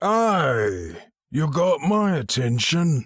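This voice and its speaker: A man uses a put-on character voice that is gravelly and fairly high-pitched, with very wide pitch swings. The recording is very clean, with a silent background. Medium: read story. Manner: terse, guarded.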